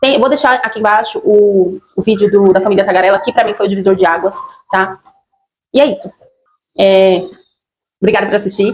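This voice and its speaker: A woman speaks at a fairly quick pace with a medium pitch and ordinary pitch variation, breaking often into long pauses. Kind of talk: personal testimony vlog. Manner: halting, many fillers.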